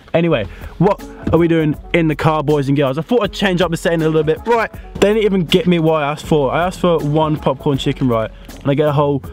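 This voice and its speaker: Over faint music in the background, a man talks at a very fast pace with ordinary pitch variation, the sound dry with no echo. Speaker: vlogger. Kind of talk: casual vlog chat. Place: car. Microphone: phone near.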